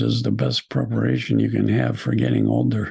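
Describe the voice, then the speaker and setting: A man talks fairly quickly in a very deep, low voice with vocal fry. His tone is dark and mellow, with fairly even intonation. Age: 70s. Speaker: psychologist and spiritual teacher. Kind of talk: webinar talk answering questions. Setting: video call.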